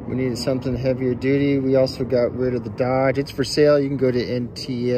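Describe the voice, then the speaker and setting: Over noticeable background noise, a man talks at a fairly quick pace in a monotone, flat delivery. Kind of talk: casual vlog chat.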